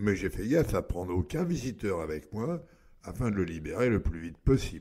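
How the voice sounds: A man's put-on character voice, low-pitched and dark, mellow in tone with a slightly husky edge, at a moderate pace with big pitch swings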